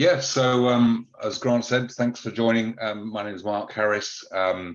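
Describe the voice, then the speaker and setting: A man with a British accent at a medium pitch, fairly slow pace, ordinary pitch variation and big swings in loudness. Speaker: cybersecurity advisor. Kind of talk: webinar presentation. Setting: online webinar. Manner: hesitant, many fillers.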